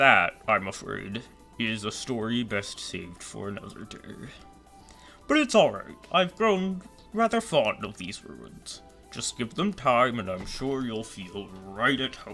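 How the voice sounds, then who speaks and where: A man puts on a character voice at a medium pitch and a fairly slow pace. Clear music plays in the background. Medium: fan dub. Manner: gentle, courteous.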